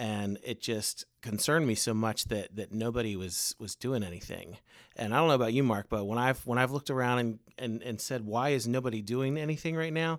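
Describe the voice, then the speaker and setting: Using a normal speaking voice, a man talks at a medium pitch and a fairly quick pace with ordinary pitch variation and hardly any pauses, on a very clean recording with a silent background. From Baltimore area suburbs, Maryland. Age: 40s. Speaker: homeless ministry founder. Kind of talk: faith testimony in casual interview.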